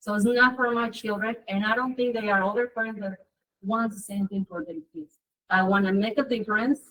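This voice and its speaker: A woman with a non-native accent talks at a fairly quick pace in a fairly high pitch. Her tone is bright and sharp, her intonation fairly even. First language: Spanish. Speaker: parent member of school council. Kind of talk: public meeting report.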